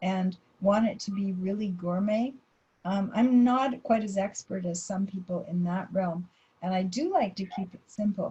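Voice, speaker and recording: A woman speaks at a fairly slow pace with a dark, mellow tone that is somewhat breathy. Her pitch variation is ordinary. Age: 70s. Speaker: dietitian. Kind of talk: presentation Q&A.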